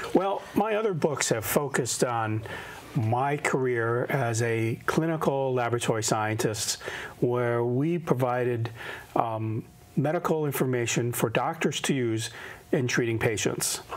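A man speaks fairly slowly, his pitch varying in an ordinary way. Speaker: guest. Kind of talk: interview answer. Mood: warm, enthusiastic. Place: studio. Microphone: lapel.

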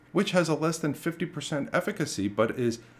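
The man's speech comes along at a fairly quick pace. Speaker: history channel host. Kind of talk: documentary narration to camera.

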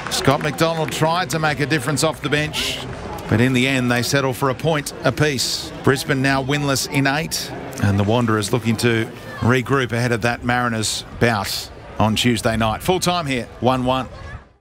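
With music playing in the background, a man speaks at a moderate pace, his medium pitch showing ordinary variation. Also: very even loudness. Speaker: match commentator. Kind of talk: live match commentary.

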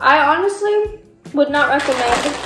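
A woman speaks in a high voice, with audible echo from the room. Music plays clearly in the background. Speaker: candy reviewer. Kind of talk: casual vlog chat. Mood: sarcastic, playful. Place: home room. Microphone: camera far.

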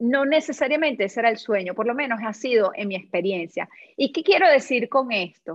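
A woman talks at a moderate speed. Nothing much is heard behind her. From Venezuela. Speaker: yoga life coach and former actress; yoga life coach, former actress. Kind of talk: casual interview chat. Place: home room. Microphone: video call.

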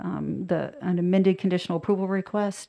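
Over a quiet background, a woman talks with a dark, mellow tone and fairly low pitch. Her intonation stays fairly even. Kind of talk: formal briefing. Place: meeting room. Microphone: podium.

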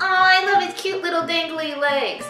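A woman speaks in a raised, projected voice, with faint music in the background and audible room echo. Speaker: craft video host. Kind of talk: tutorial. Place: kitchen. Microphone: camera far.

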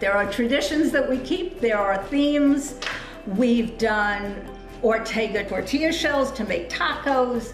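Clear music plays in the background while a woman speaks at a fairly slow pace. Her pitch variation is ordinary, and there is audible room echo. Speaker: guest. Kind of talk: interview answer. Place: home room. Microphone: video call.

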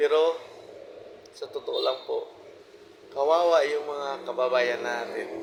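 Amid noticeable background noise, a man speaks at a fairly slow pace, with long, frequent pauses. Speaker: vlogger. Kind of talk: personal monologue. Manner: informal, repetitive, halting.

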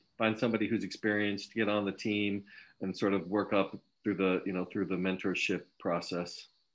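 Speaking at a fairly quick pace, a man with a fairly low pitch keeps a monotone, flat intonation. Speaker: university academic hosting the seminar. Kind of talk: academic seminar discussion. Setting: video call. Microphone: video call.

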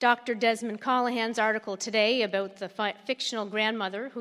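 At a moderate pace, a woman with a Canadian Maritime accent speaks at a fairly high pitch with fairly even intonation over a quiet background. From Prince Edward Island, Canada. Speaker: community activist, committee chair. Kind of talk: prepared public statement. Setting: microphone at public meeting. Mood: angry, protesting. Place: hall.

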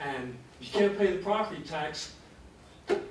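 A man's voice amid noticeable background noise, with audible room echo. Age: 80s+. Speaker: public commenter at county hearing. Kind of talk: public comment at hearing. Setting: public meeting room.

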